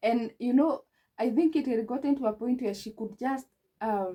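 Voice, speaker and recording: With a Kenyan accent, a woman speaks at a fairly slow pace in a high pitch and a dark, mellow tone. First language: Kikuyu. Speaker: relationship advice vlogger. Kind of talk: advice talk to camera.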